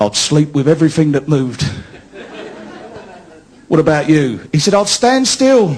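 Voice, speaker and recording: A man with a Cockney accent speaks at a moderate pace and fairly high pitch, with very wide pitch swings and very even loudness. Long, frequent pauses break his speech over noticeable background noise. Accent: London Cockney. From London. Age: 40s. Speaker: stand-up comedian. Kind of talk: live stand-up comedy set.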